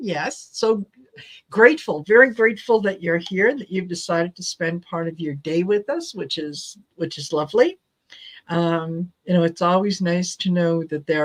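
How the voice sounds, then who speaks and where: A woman talks in an ordinary speaking voice at a moderate pace with ordinary pitch variation. The sound is dry and close, with no echo. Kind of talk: tarot reading host talking to a live audience.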